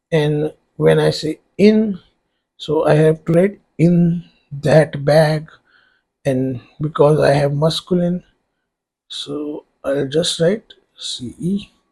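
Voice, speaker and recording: In an Indian accent, a man speaks at a very slow pace with long, frequent pauses. His pitch is fairly high and his intonation fairly even. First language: Hindi. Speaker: online tutor. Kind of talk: tutorial. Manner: hesitant, many fillers.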